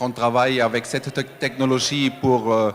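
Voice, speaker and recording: A man with a non-native accent talks at medium pitch in a monotone, flat intonation. Noticeable background noise is present. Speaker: award winner, company representative. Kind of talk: acceptance speech. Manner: halting, many hesitations.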